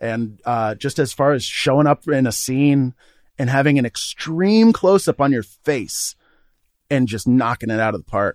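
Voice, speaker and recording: Lively intonation marks this man's ordinary speaking voice at a moderate pace. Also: dry, close sound with no echo. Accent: American. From Vermont, US (Burlington). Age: 30s. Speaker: podcast co-host, film fan. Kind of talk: casual chat.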